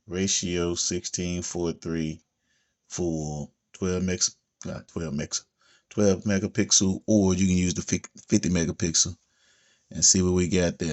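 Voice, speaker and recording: A man speaks with a very deep, low pitch at a moderate pace. His intonation stays fairly even. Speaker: tech youtuber. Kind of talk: product walkthrough. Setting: at home, others asleep. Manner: casual, conversational.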